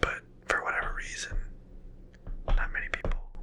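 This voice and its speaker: Someone whispers over noticeable background noise. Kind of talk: ASMR LEGO building video, casual talk to camera. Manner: whispered.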